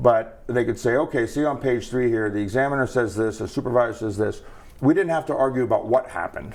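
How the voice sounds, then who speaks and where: A man with an animated tone talks at a fairly quick pace, his pitch medium and its variation ordinary. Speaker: federal regulator, board member. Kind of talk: interview. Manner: fast; conversational, animated.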